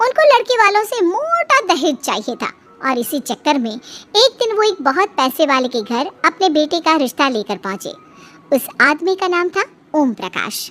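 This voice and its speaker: High-pitched and cartoonish, this character voice swings very widely in pitch at a moderate pace. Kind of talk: children's moral story narration.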